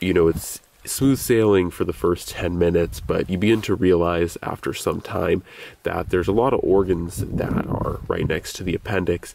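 A man speaks at a moderate pace in a very deep, low voice with ordinary pitch variation. The sound is dry with no echo, over light background noise. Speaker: gear reviewer. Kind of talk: casual vlog chat. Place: open country.

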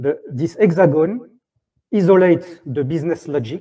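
A man with a French accent and a fairly high pitch talks at a fairly slow pace in a dark, mellow tone with ordinary pitch variation over a quiet background. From France. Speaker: software tech lead. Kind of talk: conference talk. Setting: stage with audience. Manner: halting.

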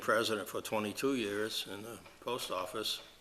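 Bright and sharp in tone, this man's voice sits fairly low in pitch. Room echo is audible. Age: 70s. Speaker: board of health chair. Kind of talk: public meeting. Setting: town hall meeting room. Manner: halting with fillers.

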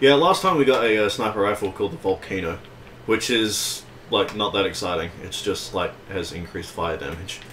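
Noticeable background noise sits under a man's lively intonation. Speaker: gaming video host. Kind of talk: casual chat.

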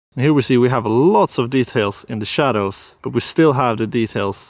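At a moderate pace, a man speaks with vocal fry and ordinary pitch variation, in a dry sound with no echo against a quiet background. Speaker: photography vlogger. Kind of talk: casual vlog chat. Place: open country. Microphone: phone near.

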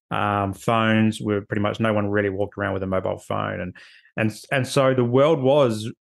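Against a quiet background, a man with an Australian accent talks at a moderate pace in a fairly low voice. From Australia, Adelaide. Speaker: social worker; podcast guest. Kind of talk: casual chat. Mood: reflective, personal storytelling. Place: home room. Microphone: video call.

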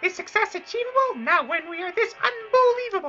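Someone speaks in a put-on character voice. The pitch is extremely high. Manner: spooky.

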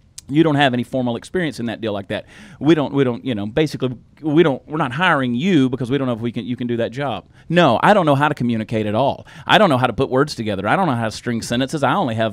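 A man talks at a very fast pace with ordinary pitch variation. The sound is dry with no echo, and the background is quiet. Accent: Southern US. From US South. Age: 40s. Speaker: comedian and podcast co-host; comedian, podcast co-host. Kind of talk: casual chat. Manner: animated. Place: studio. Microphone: studio mic.

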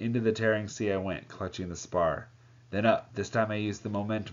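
Fairly even intonation from a natural reading voice.

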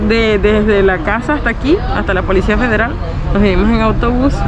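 Delivered at a fairly quick pace, the dry, echo-free recording carries crowd noise in the background. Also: woman. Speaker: vlogger. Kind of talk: casual vlog chat. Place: street. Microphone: phone near.

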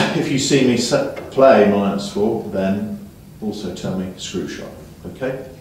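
There is light background noise as a man talks with strong room echo. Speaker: snooker coach. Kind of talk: lesson instruction to a student.

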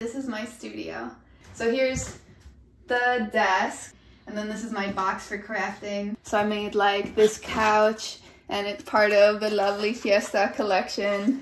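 A woman with an American accent speaks fairly slowly at a fairly high pitch, her intonation fairly even. There is audible room echo and light background noise. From Chicago, Pilsen; Chicago. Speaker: illustrator. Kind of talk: panel discussion; casual studio tour chat. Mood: warm, a bit shy. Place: home room. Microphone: phone near.

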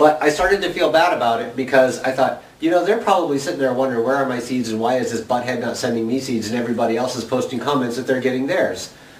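A man rushes through his words at a very fast pace against noticeable background noise. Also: medium pitch for a man, ordinary pitch variation. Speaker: video blogger running a seed exchange. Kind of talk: casual chat to camera, vlog. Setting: home video recording to camera. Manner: chatty, animated, jokey.

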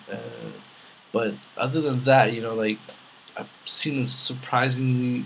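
At a moderate pace, a man with a medium pitch talks in a monotone, flat intonation over noticeable background noise. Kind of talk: casual talk to camera, Q&A vlog.

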